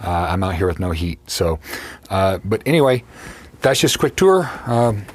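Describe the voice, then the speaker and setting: Over noticeable background noise, a man with a fairly low pitch talks at a moderate pace with lively intonation. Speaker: YouTuber reviewing subwoofers. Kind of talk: casual video tour. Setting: unheated coach in freezing weather. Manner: hesitant, many fillers.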